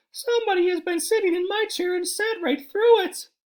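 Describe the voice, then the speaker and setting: A man talks in a squeaky, put-on character voice at an extremely high pitch. His pace is fairly quick. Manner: plaintive, crying out.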